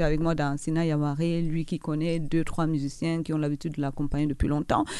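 A woman speaks in a fairly low pitch. Her tone is dark and mellow. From Cameroon. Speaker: singer. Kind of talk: radio interview.

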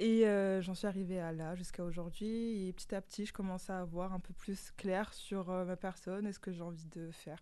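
A woman's mid-pitched voice, dark and mellow in tone, with flat, monotone intonation at a moderate pace. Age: 20s. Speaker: guest, insurance advisor. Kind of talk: casual radio interview. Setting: studio.

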